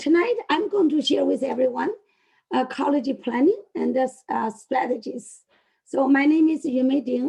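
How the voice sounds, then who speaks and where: Using a put-on character voice, a woman sounds hoarse and high-pitched at a moderate pace. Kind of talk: webinar presentation.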